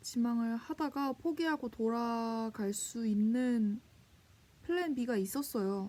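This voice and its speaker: Her voice is high-pitched, with ordinary pitch variation. The woman talks at a very slow pace. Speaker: vlogger. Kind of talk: vlog monologue. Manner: casual, reflective.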